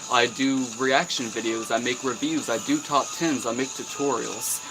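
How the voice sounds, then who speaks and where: A man's medium-pitched voice with ordinary pitch variation, moderate pace, and music playing in the background. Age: 20s. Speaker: YouTuber and artist. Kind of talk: live stream Q&A. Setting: live stream. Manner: casual, profane.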